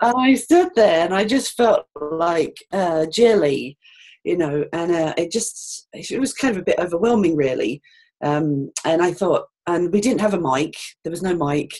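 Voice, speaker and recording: With a British accent, a woman speaks at a fairly low pitch. Her intonation is lively and her pace fairly slow. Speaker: financial adviser. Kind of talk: interview. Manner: hesitant, many fillers.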